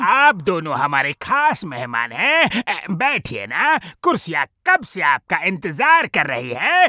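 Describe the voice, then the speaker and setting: Delivered at a fairly slow pace, a cartoonish character voice sits at a middle pitch on a very clean recording with a silent background. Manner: boastful, bossy.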